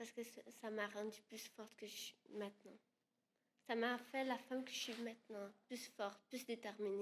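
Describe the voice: With a non-native accent, a woman at a fairly high pitch talks at a moderate pace in a monotone, flat intonation. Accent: noticeable non-native accent in French.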